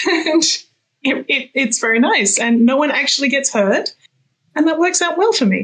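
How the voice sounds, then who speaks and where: A woman with an Australian accent and a high pitch speaks with very even loudness, very wide pitch swings, and long, frequent pauses. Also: moderate pace. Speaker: fantasy author. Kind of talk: interview. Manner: halting, many repeated words and fillers.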